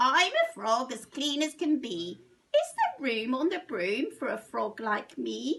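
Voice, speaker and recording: A woman puts on a croaky, high-pitched character voice. She speaks with hardly any pauses. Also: fairly slow pace. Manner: polite, sing-song.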